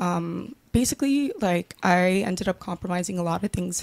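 At a moderate pace, a normal speaking voice comes through in a dry, close sound with no echo. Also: woman. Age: 20s. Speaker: panel guest. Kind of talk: casual panel debate. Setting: studio.

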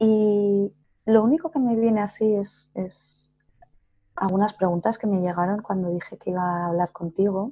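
A woman's somewhat breathy voice with a dark, mellow tone, medium pitch and ordinary pitch variation, against a quiet background. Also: fairly slow pace. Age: 40s. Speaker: psychotherapist. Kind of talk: interview.

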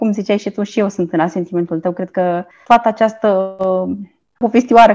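A woman speaks with a medium pitch and an unremarkable speaking voice. Her intonation is fairly even, and the background is quiet. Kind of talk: casual chat.

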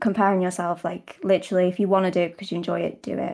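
Very fast and with a British accent, a woman speaks in a very clean recording with a silent background. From Britain. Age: 20s. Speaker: ASMR content creator. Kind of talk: casual interview chat.

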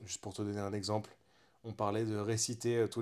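Over a silent background in a very clean recording, a man with a fairly low pitch speaks at a moderate pace in a flat monotone. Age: 30s. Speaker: podcast co-host, motorcycle workshop owner. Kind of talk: casual chat. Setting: at home on a couch.

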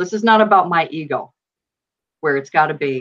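A woman with a Western New York accent at a fairly quick pace. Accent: Western New York American. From Buffalo, New York, US. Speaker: true crime author. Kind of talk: casual interview.

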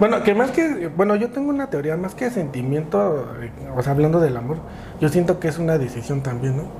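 A man with a Mexico City accent talks at a fairly quick pace and fairly high pitch. His pitch swings very widely over noticeable background noise. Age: 30s. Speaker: podcaster and father. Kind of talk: casual chat.

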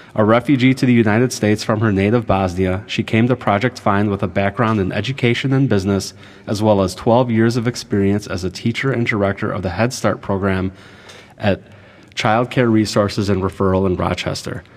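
A man's plain, everyday voice at a fairly quick pace with fairly even intonation. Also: fairly low pitch for a man. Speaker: newspaper editor and podcast host. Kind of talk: interview host.

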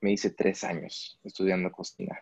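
With a dry, close sound free of any echo, a male speaker talks at a moderate rate. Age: 30s. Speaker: travel photographer and videographer. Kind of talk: interview.

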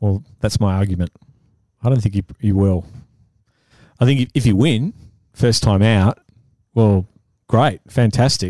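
A man with an Australian accent, fairly low in pitch and dark, mellow in tone, at a fairly slow pace with long, frequent pauses, ordinary pitch variation and very even loudness, in a dry, close sound with no echo and a quiet background. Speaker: photographer. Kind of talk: casual chat.

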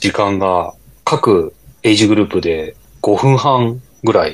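With noticeable background noise around him, a man talks at a fairly slow pace. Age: 40s. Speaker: amateur runner podcast co-host. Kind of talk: casual chat.

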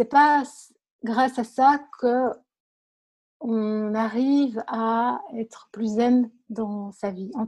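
A woman speaks very slowly in a fairly high voice, with long, frequent pauses. Her intonation stays fairly even. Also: very clean recording, silent background. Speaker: blogger and author. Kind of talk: interview. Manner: calm, soft-spoken; halting, repeats words.

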